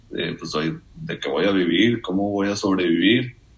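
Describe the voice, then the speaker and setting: A man with a plain, everyday voice speaks at a fairly slow pace and fairly low pitch, with ordinary pitch variation. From Mexico, Nuevo Laredo, Tamaulipas. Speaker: economics student. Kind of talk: casual chat. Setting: studio.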